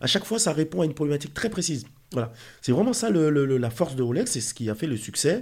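A man speaks at a very fast pace with a fairly high pitch and very wide pitch swings. His voice is somewhat breathy, on a very clean recording with a silent background. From Haiti. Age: 40s. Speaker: watch dealer and entrepreneur. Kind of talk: interview. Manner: halting, frequent repetitions.

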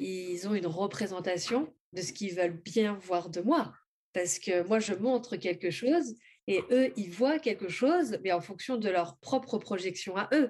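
Lively intonation from a woman at medium pitch. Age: 30s. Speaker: spiritual author and oracle creator. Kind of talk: interview testimony.

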